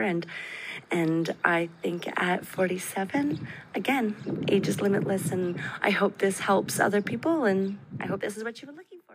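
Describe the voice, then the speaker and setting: With a Canadian accent, a woman talks at a fairly slow pace and ordinary pitch variation over noticeable background noise. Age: 40s. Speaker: registered nurse. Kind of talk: recorded voice message. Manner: hesitant with fillers.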